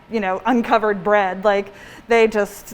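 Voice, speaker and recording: A woman's fairly high voice carries fairly even intonation, with noticeable background noise behind her. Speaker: pastry chef and bakery owner. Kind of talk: cooking demonstration class. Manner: soft-spoken; mumbling. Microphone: muffled by face mask.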